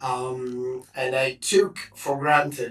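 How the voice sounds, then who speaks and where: A man delivers his words very slowly at a medium pitch. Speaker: developer. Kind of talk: technical explanation.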